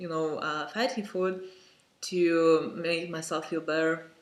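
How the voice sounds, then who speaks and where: With a non-native accent, a man speaks at a very slow pace in a high pitch with ordinary pitch variation. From Lithuania. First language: Lithuanian. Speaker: vlogger. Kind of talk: personal vlog monologue. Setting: home, parent in next room. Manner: halting, many fillers.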